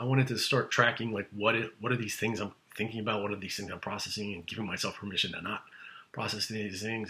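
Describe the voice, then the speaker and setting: A put-on character voice rasps along at a very fast pace. Its intonation stays monotone and flat. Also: man, medium pitch for a man. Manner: fast talking.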